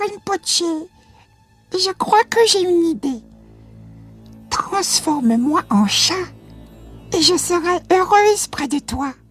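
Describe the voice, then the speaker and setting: An extremely high-pitched, female-sounding put-on character voice with a timid tone, a fairly slow pace and long, frequent pauses, over faint music in the background. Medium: read story. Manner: timid, hesitant.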